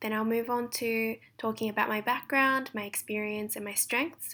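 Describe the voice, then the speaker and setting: Her tone is bright and sharp. The woman has a fairly high pitch and speaks at a moderate pace. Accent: Australian. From Australia. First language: Japanese. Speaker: translation student. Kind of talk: recorded presentation.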